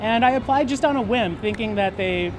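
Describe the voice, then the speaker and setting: A man speaking at a fairly quick pace with ordinary pitch variation, music in the background. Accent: American. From Minnesota, US Midwest (Maple Grove). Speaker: dating show contestant. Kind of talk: interview. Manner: hesitant, with fillers.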